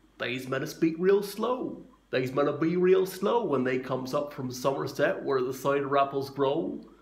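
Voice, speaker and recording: Putting on a character voice, a man drawls at a moderate pace and fairly high pitch with hardly any pauses. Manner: slow, drawling.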